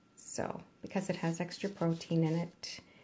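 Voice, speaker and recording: Soft-spoken and very slow, a woman uses a fairly low pitch, a dark, mellow tone and ordinary pitch variation. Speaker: ASMR creator. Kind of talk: cooking tutorial. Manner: quiet, trying to speak louder.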